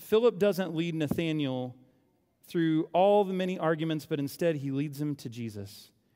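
On a very clean recording with a silent background, a man with a fairly high pitch and a dark, mellow tone speaks at a moderate pace with ordinary pitch variation. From Oklahoma. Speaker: pastor. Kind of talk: sermon. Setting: church.

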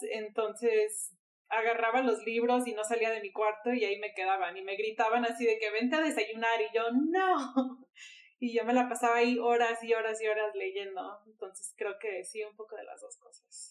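A woman in a normal speaking voice, fairly high-pitched, with ordinary pitch variation, big swings in loudness and a moderate pace. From Miami, US. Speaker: photographer. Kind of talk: casual chat. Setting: recording from home.

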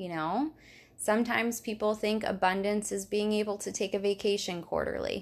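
A woman with a normal speaking voice talks at medium pitch and a moderate pace, with fairly even intonation. The recording is very clean, with a silent background. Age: 30s. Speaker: health coach. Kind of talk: casual chat. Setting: host's apartment.

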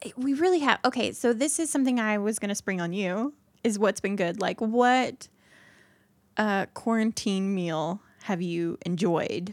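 A woman with an American accent speaks in a normal speaking voice at a fairly high pitch and a moderate pace. Her intonation is lively, and the recording is very clean with a silent background. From Indiana. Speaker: podcast co-host. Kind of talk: casual chat.

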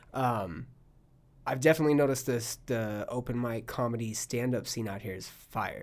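Speaking at a moderate pace with an American accent, a man uses a medium pitch with ordinary variation. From California, Palm Springs. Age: 30s. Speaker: podcast host and stand-up comedian. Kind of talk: casual chat. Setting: studio.

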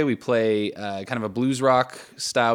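It's a plain, everyday voice from a man with a medium pitch and fairly even intonation. The recording is very clean, with a silent background. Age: 20s. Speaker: musician. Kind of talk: casual chat.

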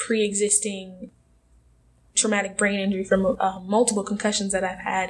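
A woman with an American accent talks at a fairly quick pace and a medium pitch. Her intonation is monotone and flat, over noticeable background noise. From Milwaukee, Wisconsin. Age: young. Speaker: university student and activist. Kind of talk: interview.

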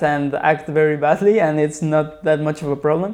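A man with a fairly high pitch speaks with a Spanish accent. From Mexico City. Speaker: writer and filmmaker. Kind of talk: casual interview.

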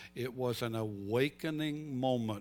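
Music plays in the background as a man speaks with a Southern US accent. His pitch is medium, with ordinary pitch variation. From North Carolina. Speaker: pastor. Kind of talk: sermon.

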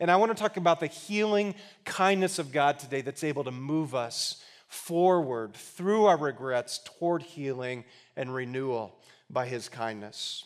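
In a normal speaking voice, a man with a fairly high pitch talks at a moderate pace with lively intonation. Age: 40s. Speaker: guest preacher. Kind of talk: sermon. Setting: church with congregation.

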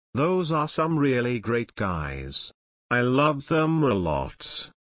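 A man performs a put-on character voice. The act comes in a British accent. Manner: robotic.

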